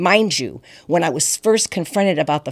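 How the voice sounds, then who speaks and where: In a very clean recording with a silent background, a woman talks at a very fast pace with ordinary pitch variation. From San Francisco, California. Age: 60s. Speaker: guest sharing life story. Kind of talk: testimony.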